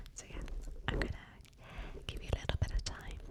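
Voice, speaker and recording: A woman whispers at a moderate pace with a British accent. Noticeable background noise runs underneath. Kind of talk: ASMR personal attention chat. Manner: soft-spoken.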